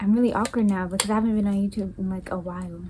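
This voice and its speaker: A woman with an American accent, medium pitch, flat monotone intonation and a fairly quick pace, with noticeable background noise. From South Carolina. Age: young. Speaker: young mother, YouTuber. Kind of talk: casual storytime talk to camera.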